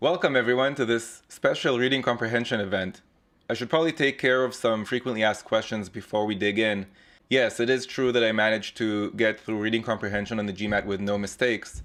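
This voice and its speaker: A man's very fast delivery at medium pitch, with fairly even intonation. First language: not English. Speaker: GMAT tutor. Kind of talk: live online tutorial; scripted intro. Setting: live online webinar with chat.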